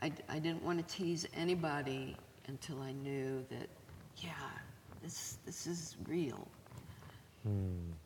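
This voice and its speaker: The voice swings very widely in pitch at a very slow pace, with long, frequent pauses. Noticeable background noise runs underneath. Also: woman, very deep, low pitch for a woman. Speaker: music journalist and author. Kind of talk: casual interview conversation. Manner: chatty, uses many fillers.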